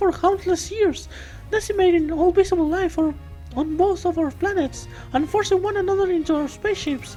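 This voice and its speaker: A female-sounding, squeaky put-on character voice sits at an extremely high pitch and moves at a moderate pace. Music plays in the background. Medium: game stream. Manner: formal, stiff alien phrasing.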